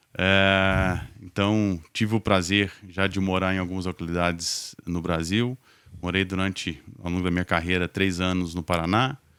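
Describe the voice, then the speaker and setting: A man speaks at a moderate pace in a very deep, low pitch with monotone, flat intonation, in a very clean recording with a silent background. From Minas Gerais, Brazil. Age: 40s. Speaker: logistics executive. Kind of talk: podcast interview. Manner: hesitant, many fillers.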